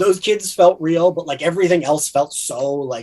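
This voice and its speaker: A man with a New Jersey accent at a moderate pace. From New Jersey (south). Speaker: podcast co-host. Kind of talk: casual chat.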